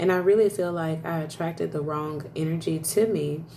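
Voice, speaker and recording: A woman speaks at a moderate pace in a fairly low voice, with audible room echo and noticeable background noise. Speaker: live streamer. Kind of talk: casual chat. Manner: loud; animated.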